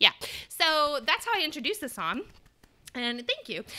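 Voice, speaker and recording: A woman speaks at a fairly quick pace in a raised, projected voice with a bright, sharp tone. Her pitch is high and swings very widely, over a quiet background. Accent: American. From Michigan, US. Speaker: early childhood music teacher; music teacher podcast host. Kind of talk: teaching discussion. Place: home room. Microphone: studio mic.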